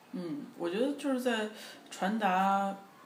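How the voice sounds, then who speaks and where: Heard with audible room echo, a man speaks at a high pitch with lively intonation. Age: young. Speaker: pop singer. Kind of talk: interview. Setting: at home.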